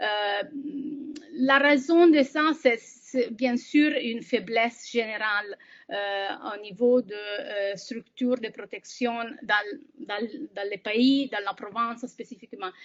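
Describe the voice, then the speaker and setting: A woman with a non-native accent, fairly high in pitch, at a very slow pace, with ordinary pitch variation and big swings in loudness. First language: not French (speaking French). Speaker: humanitarian aid worker. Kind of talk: webinar presentation. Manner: halting, many hesitations.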